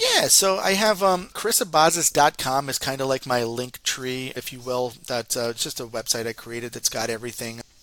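Animated and bright, sharp in tone, a man with a Northeastern American accent and medium pitch talks at a moderate pace with ordinary pitch variation and few pauses.

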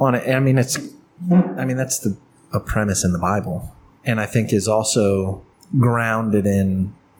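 At a moderate pace, a man with medium pitch and ordinary pitch variation has an unremarkable speaking voice. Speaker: podcast co-host. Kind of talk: casual banter over beers.

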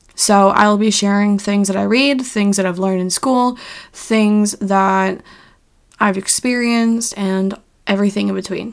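A woman with a normal speaking voice and medium pitch talks at a fairly slow pace with fairly even intonation. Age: 20s. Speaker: podcast host and health coach. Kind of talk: solo podcast monologue. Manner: casual, filler-heavy.

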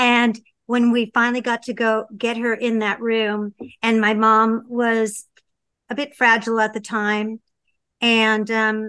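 A woman's bright, sharp tone sits at a fairly high pitch. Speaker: podcast co-host. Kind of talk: casual chat. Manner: animated.

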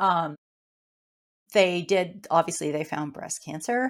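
This woman has a fairly low pitch. She speaks with a slight Canadian accent. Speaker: cancer survivor and author. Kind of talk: interview.

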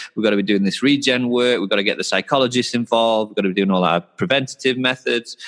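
A man with a Yorkshire accent and ordinary pitch variation, in a dry, close sound with no echo. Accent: northern English (Yorkshire). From North Yorkshire, northern England. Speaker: sports performance coach. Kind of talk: interview conversation.

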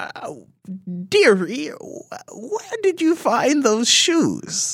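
In a put-on character voice with an extremely high pitch, a man talks at a very slow pace. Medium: actual play. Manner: gentle, affectionate.

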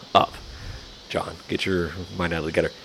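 There is noticeable background noise as a man with a slight Southern US accent speaks at a very deep, low pitch. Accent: Southern drawl, slight. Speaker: barbecue podcast co-host. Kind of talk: casual chat.

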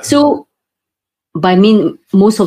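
Somewhat breathy, a woman's voice comes through. Its tone is dark and mellow. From Singapore. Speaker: property developer and co-author publisher. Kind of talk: interview.

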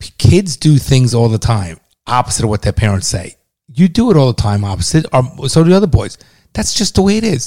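This man speaks fairly quickly at a medium pitch, with very wide pitch swings. His tone is dark and mellow, somewhat breathy, and the sound is dry and close with no echo. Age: 50s. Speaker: podcast host, father of co-host. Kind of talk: casual banter and opinion talk.

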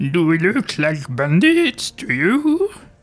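Someone uses a put-on character voice at a middle pitch. The pace is fairly slow. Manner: put-on altered voice.

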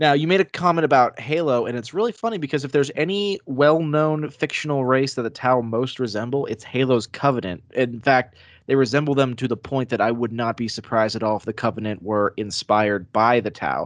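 With an unremarkable speaking voice, a man talks at a medium pitch and a fairly quick pace, showing ordinary pitch variation and hardly any pauses against a quiet background. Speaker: podcaster. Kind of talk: casual chat.

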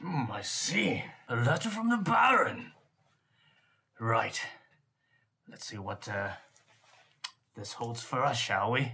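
Using a put-on character voice, a man speaks with a raspy, medium pitch at a fairly slow pace, pausing long and often. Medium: actual play. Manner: pompous, aristocratic, nose in the air.

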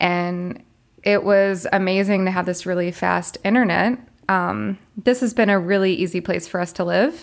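In a very clean recording with a silent background, a woman with an American accent speaks in an ordinary speaking voice with fairly even intonation. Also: medium pitch for a woman, moderate pace. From US South, Florida. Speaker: international school teacher. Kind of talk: interview.

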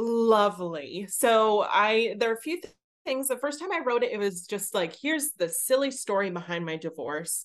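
With an American accent, a woman uses an ordinary speaking voice. Her intonation is lively and her pace moderate. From Pittsburgh, US. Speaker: theatre creator and performer. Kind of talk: interview.

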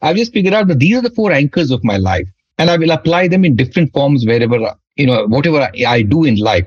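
Recorded dry and close with no echo, a man speaks very fast in a somewhat breathy voice, his loudness very even while his pitch swings very widely. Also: fairly high pitch for a man. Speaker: startup executive and author. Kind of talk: interview.

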